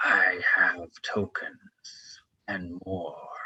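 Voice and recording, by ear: A man speaks loudly. He uses a put-on character voice.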